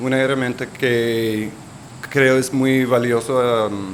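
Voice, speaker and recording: A man with a Colombian accent speaks very slowly. Audible room echo and noticeable background noise fill the recording. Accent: non-native Spanish, Colombian Spanish. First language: English (speaking Spanish). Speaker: urban resilience advisor. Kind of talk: conference presentation. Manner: halting.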